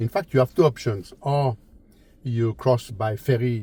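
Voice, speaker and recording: With a French accent, a man speaks fairly slowly at a medium pitch, with ordinary pitch variation and a somewhat breathy, dark, mellow tone. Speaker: travel and car vlogger. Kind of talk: casual travel vlog talk. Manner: halting, many fillers and repetitions.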